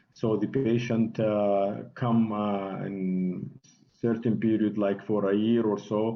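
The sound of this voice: Slowly, a man with a fairly low pitch speaks with little pitch movement as audible room echo surrounds him.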